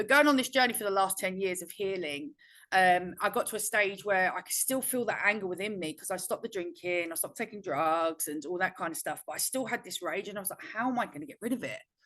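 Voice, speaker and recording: A woman at medium pitch talks at a very fast pace with hardly any pauses. Her tone is bright and sharp, her intonation lively, and her loudness swings widely. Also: quiet background. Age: 40s. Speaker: feminine embodiment mentor. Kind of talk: podcast interview.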